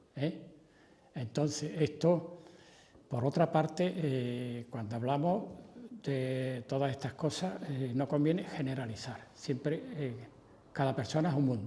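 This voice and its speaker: This man has a fairly high pitch, a dark, mellow tone and a somewhat breathy voice. He talks at a fairly slow pace with ordinary pitch variation and long, frequent pauses. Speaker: doctor speaking on elderly care. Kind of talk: panel discussion.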